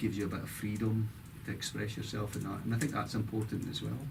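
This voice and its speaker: Delivered at a very fast pace with vocal fry and monotone, flat intonation, the speech carries audible room echo. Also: man. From Scotland, Dundee. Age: 60s. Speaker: former football player and coach. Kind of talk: interview.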